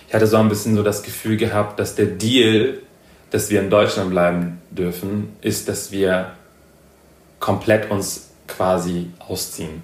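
Audible room echo surrounds a man with a fairly low pitch. He speaks at a fairly slow pace in a monotone, flat intonation. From northern Germany. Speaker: podcast guest, cultural studies graduate. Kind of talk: casual conversation. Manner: hesitant, many fillers.

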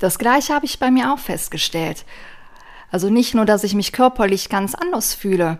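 Speaking at a moderate pace, a woman uses a fairly high pitch with very wide pitch swings. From western Germany, near Aachen. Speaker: vegan nutrition advisor. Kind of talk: casual chat.

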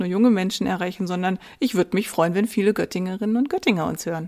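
The woman's pitch shows ordinary variation. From Saxony-Anhalt, eastern Germany (Wittenberg). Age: 40s. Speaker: mayoral candidate, podcast co-host. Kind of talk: casual chat.

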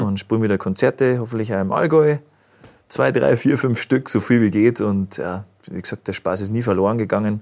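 With an Upper Bavarian accent, a man talks at a fairly quick pace in a dark, mellow tone with ordinary pitch variation. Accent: deep Upper Bavarian dialect. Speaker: musician. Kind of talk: casual interview. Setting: studio.

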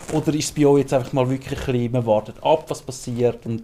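A man with a medium pitch and a dark, mellow tone speaks with fairly even intonation. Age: 40s. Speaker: librarian. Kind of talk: casual chat.

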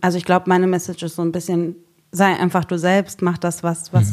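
Fairly quick and fairly even in intonation, a woman talks in a plain, everyday voice at a fairly low pitch. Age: 30s. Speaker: social worker. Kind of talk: casual chat.

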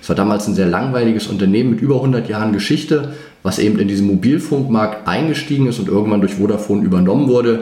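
Over noticeable background noise and audible room echo, a man speaks at a very fast pace with a fairly low pitch and ordinary pitch variation. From northeastern Germany (Greifswald, former GDR). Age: 30s. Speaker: finance trainer and former portfolio manager. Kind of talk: interview.

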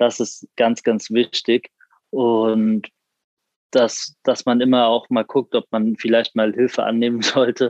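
A man's monotone, flat delivery at a very slow pace, with very even loudness in a dry, close sound with no echo. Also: medium pitch for a man. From Frankfurt am Main, Germany. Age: 20s. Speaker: university student with a visual impairment. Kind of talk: interview.

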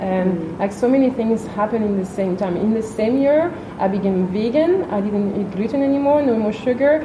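A woman with a French accent, fairly high-pitched and lively in intonation, fairly quick with hardly any pauses, amid noticeable background noise and audible room echo. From France. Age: 30s. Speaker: yoga teacher. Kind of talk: interview. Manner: hesitant, many fillers.

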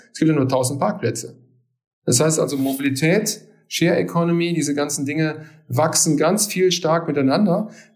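Speaking at a moderate pace, a man holds his loudness very even. His fairly high pitch shows ordinary variation, and audible room echo surrounds him. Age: 50s. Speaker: technology consultant, company partner. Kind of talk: interview. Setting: remote recording.

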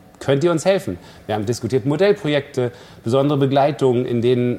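The pace is very fast. Pitch variation stays ordinary. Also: man. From East Germany. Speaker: cellist and festival director. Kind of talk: interview.

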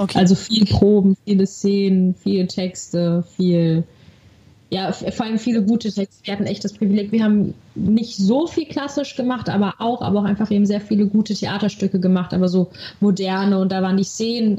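This woman's pitch varies in an ordinary way as she talks at a moderate pace. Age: 20s. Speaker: actress. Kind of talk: interview conversation. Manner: animated.

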